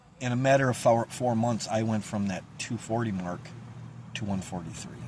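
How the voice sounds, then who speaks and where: At a moderate pace and medium pitch, a man with an upstate New York accent speaks with fairly even intonation over noticeable background noise. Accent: upstate New York American. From central New York. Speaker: local community video host. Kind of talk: casual vlog monologue. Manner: halting, loses track.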